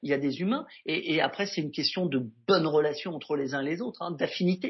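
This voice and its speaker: Ordinary pitch variation marks a man's fairly quick speech. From Normandy, France. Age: 40s. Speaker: entrepreneur. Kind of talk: interview. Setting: video call.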